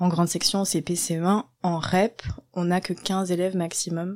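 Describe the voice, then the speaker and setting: In a very clean recording with a silent background, a woman with a medium-pitched, dark, mellow tone speaks at a very slow pace in a monotone, flat intonation. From southwest France, Landes. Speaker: primary school teacher. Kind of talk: casual interview.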